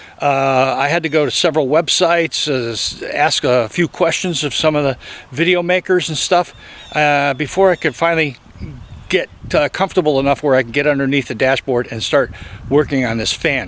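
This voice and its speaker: Noticeable background noise sits under a man talking at a fairly quick pace, his pitch fairly high with ordinary variation. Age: 60s. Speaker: DIY car repair video maker. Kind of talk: tutorial. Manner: halting, many filler uhs; casual.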